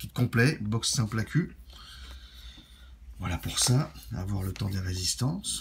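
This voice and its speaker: At a very slow pace, a man with a fairly low pitch and vocal fry swings his pitch very widely and takes long, frequent pauses. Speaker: vape product reviewer. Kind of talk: product review. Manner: casual, conversational.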